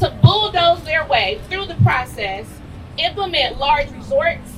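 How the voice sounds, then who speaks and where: Against noticeable background noise, a woman speaks fairly slowly at an extremely high pitch, with very wide pitch swings and big swings in loudness. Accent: American. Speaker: travel content creator. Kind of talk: protest speech.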